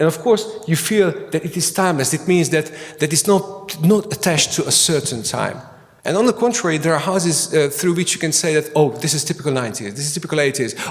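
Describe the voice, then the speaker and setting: Noticeable background noise surrounds a man with a Hungarian accent. He speaks very fast at a fairly high pitch with ordinary pitch variation. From Hungary. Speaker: architect and academic. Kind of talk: conference lecture. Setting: conference hall with audience. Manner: halting, many fillers and repetitions.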